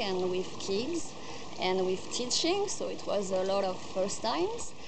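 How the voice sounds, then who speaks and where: A woman with a French accent at a fairly slow pace, amid noticeable background noise. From France. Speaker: volunteer. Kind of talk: testimonial. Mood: calm, warm, grateful. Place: garden.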